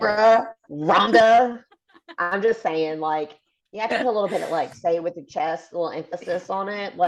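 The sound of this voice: Someone talks at a moderate pace in a Southern US accent. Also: woman, medium pitch for a woman, ordinary pitch variation.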